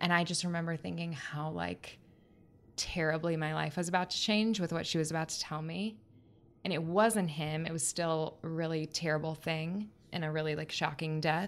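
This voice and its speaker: At a moderate pace, a woman with an American accent and fairly low pitch uses fairly even intonation in an ordinary speaking voice. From Florida Panhandle, US South. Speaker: podcast guest, aspiring writer. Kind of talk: casual chat.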